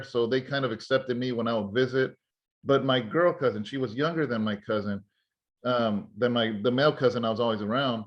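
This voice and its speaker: In an American accent, a man with a plain, everyday voice talks at a fairly quick pace and medium pitch with ordinary pitch variation. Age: 40s. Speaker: pastor and podcast host. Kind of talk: conversational interview.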